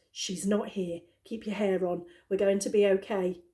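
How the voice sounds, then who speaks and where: A woman puts on a character voice, loud and at medium pitch. Her intonation stays fairly even. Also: moderate pace. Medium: read story. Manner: frantic, loud.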